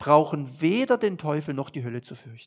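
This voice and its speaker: A man talks at a fairly slow pace in a fairly high voice. His pitch swings very widely. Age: 50s. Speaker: pastor. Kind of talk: sermon. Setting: church.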